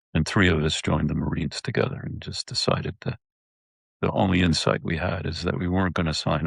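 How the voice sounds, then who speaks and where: A man talks at a fairly quick pace in a very deep, low voice with vocal fry and lively intonation. The sound is dry and close, with no echo. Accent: American. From upstate New York. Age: 70s. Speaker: war veteran. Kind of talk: interview. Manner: halting.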